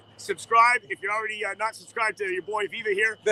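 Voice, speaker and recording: At a very fast pace, a man projects a raised, high-pitched voice with fairly even intonation, the sound dry and close with no echo. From Toronto, Canada. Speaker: YouTube live streamer. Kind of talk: casual chat. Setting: outdoors.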